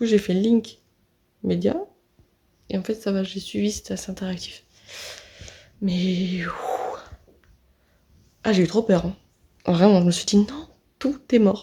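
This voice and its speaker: Somewhat breathy and dark, mellow in tone, a medium-pitched woman speaks at a very slow pace with ordinary pitch variation and long, frequent pauses. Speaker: vlogger, audiovisual student. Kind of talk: casual vlog. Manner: quiet.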